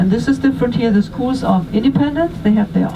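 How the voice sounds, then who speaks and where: There is noticeable background noise behind a speaker with a German accent. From Germany. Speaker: tour guide. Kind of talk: guided tour talk. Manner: halting.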